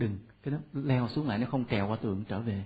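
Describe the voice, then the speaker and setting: A man talks at a very fast pace. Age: 40s. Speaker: Buddhist monk lecturer. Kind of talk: dharma talk. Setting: temple hall with audience.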